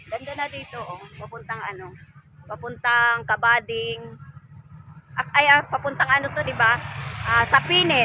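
A woman with a fairly high pitch speaks at a moderate pace in a playful tone, with lively intonation, big swings in loudness and long, frequent pauses. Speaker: vlogger. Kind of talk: casual street-market vlog chat, cheerful pitchman-like promotion of cheap fruit. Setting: outdoors at a fruit stand, market. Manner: playful, laughing, teasing the viewers.

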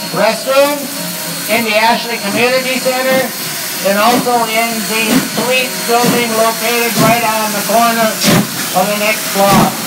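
Loud background noise surrounds a man speaking at a fairly slow pace. He leaves long, frequent pauses. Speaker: event announcer. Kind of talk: public announcement. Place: station.

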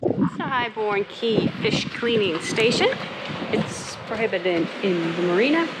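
Background noise is clearly audible. Over it, a woman speaks with lively intonation. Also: medium pitch for a woman, fairly slow pace.

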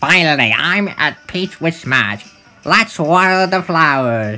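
A man uses a put-on character voice with a high pitch. He speaks at a fairly slow pace. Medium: dub. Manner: exaggerated, dramatic.

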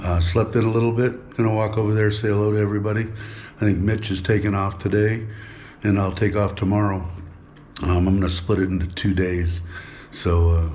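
Light background noise is present as a man with a fairly low pitch talks at a fairly quick pace. His voice is somewhat breathy, with fairly even intonation. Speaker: travel vlogger. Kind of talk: casual vlog chat. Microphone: phone near.

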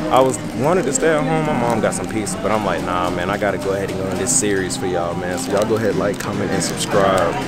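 A man talks at a very fast pace with hardly any pauses. Clear music plays in the background. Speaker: vlogger. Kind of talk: casual vlog chat. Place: cafe. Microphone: phone near.

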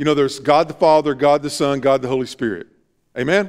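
With a Southern US accent, a man speaks at a fairly high pitch. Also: quiet background. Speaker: pastor. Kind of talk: sermon. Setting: church. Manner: earnest, preacherly, exhorting the congregation; informal, interacts with the audience. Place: church.

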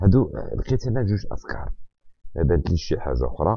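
A man at a fairly quick pace with very wide pitch swings, in a dry, close sound with no echo. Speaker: French teacher. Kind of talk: lecture.

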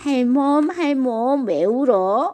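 A female-sounding voice puts on a high-pitched character voice. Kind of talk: bedtime story. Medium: read story.

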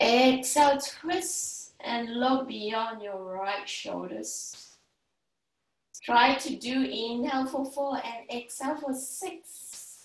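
In a room with audible echo, a woman with a high-pitched voice speaks very slowly, using ordinary pitch variation. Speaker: yoga instructor. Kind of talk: guided yoga class with breathing cues. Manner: calm, soothing, instructional; encouraging, paced with counted breaths. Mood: calm, soothing. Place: home room. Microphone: camera far.

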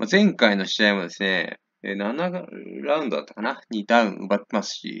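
Vocal fry runs through this man's voice as it moves in very wide pitch swings. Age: 20s. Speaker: boxing YouTuber. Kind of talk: fight prediction commentary. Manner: casual, filler-heavy.

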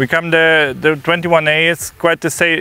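A man talks with a fairly high pitch. The sound is dry, with no echo. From Germany. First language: German. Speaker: eventing rider. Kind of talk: course walk explanation. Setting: outdoors. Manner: halting. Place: open country. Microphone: lapel.

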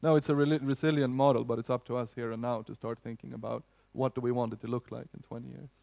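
At a very fast pace and with big swings in loudness, a man with a Swedish accent speaks in a medium pitch with a dark, mellow tone and fairly even intonation over a quiet background. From Sweden. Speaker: union economist; speaker. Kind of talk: conference talk. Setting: stage with audience. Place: hall. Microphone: headset.

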